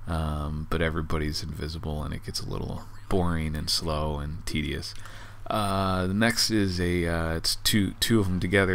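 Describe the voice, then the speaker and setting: A man with a very deep, low pitch speaks at a moderate pace in a bright, sharp tone. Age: 40s. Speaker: gaming commentator. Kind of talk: casual game review commentary.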